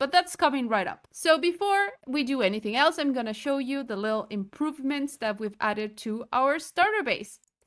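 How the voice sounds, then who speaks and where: A relaxed tone and a Spanish accent come through on a very clean recording with a silent background. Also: woman. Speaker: gaming YouTuber. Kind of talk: let's play gameplay commentary. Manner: casual, relaxed.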